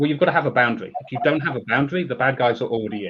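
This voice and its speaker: The voice belongs to a man with a British accent. He pitches it fairly high. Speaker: security technology executive. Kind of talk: panel discussion.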